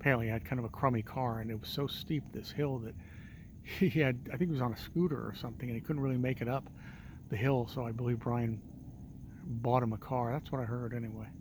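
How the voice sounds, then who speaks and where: Soft-spoken and somewhat breathy, a man with a medium pitch speaks at a very fast pace with ordinary pitch variation. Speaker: realtor and vlogger. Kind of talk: casual walking vlog. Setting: outdoors at night on a hilltop street. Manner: quiet, soft-spoken.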